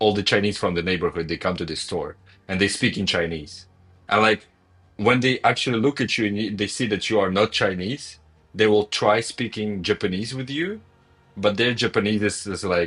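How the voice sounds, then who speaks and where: A man with a non-native accent talks at a fairly low pitch with ordinary pitch variation against a quiet background. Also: moderate pace. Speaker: gaming streamer. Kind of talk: casual chat. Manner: halting, many repetitions.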